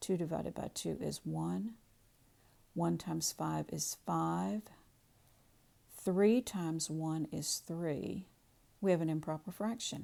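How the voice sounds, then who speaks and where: A woman at a very slow pace on a very clean recording with a silent background. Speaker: math teacher. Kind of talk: tutorial.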